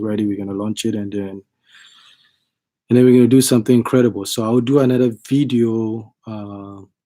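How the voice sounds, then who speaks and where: This man has a fairly low pitch and a dark, mellow tone. He talks at a moderate pace with fairly even intonation. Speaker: channel host, home builder. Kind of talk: casual vlog update. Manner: halting, many fillers.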